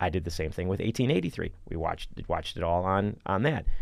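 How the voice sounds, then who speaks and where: A man with a very deep, low pitch, talking at a very fast pace with ordinary pitch variation over a quiet background. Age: 50s. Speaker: film commissioner, podcast host. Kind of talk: casual chat.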